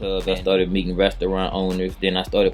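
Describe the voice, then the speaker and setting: With music in the background, a man in an American accent speaks at a fairly low pitch in a monotone, flat intonation. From New Orleans, Louisiana. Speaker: entrepreneur. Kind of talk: casual interview. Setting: studio.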